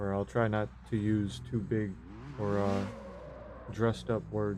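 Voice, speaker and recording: A man with an American accent has an ordinary speaking voice, a fairly low pitch, lively intonation and very even loudness. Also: fairly slow pace. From US, Maryland. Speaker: gaming live streamer. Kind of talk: live gameplay commentary chatting with viewers. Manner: casual, relaxed.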